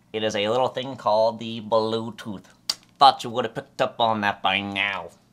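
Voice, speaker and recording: A man uses a put-on character voice at medium pitch and a moderate pace. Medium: comedy sketch. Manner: grandiose, theatrical.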